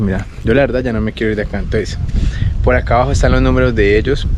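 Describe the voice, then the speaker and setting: Noticeable background noise is present. Through it, a man talks very fast. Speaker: travel vlogger. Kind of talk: travel vlog narration. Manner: animated.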